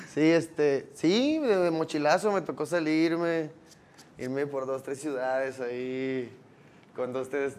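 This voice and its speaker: A man speaks in a plain, everyday voice, pitched fairly high. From Mexico, Los Cabos. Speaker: rapper. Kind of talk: casual chat.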